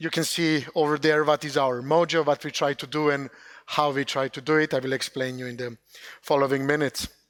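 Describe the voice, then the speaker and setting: A man speaks in a fairly high pitch with a monotone, flat intonation, on a very clean recording with a silent background. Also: fairly quick pace, dry, close sound with no echo. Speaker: company CEO presenting funding opportunities. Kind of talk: conference presentation. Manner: loud; hesitant, many fillers.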